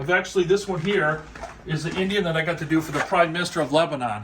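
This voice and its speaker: A man's high-pitched voice with ordinary pitch variation over music in the background. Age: 60s. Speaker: custom motorcycle seat maker. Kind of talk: casual show-and-tell explanation. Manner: casual, conversational with fillers.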